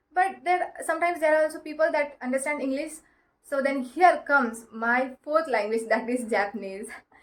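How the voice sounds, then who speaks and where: With an Indian accent, a woman talks at a moderate pace in a high pitch, her intonation lively. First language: Marathi. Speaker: self-help vlogger. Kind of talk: advice talk to camera. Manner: halting, many fillers.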